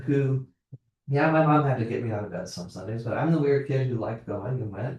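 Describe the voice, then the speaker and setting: A man's somewhat breathy, medium-pitched voice with lively intonation at a fairly quick pace. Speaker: pastor leading adult class. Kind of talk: adult Bible class discussion. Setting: church classroom, video recorded. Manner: fast; casual.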